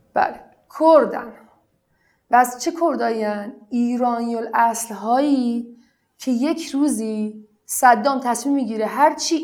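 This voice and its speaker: Here a woman speaks with a high pitch. Her intonation is lively. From Iran, family of Iraqi returnees. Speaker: blogger. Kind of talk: interview.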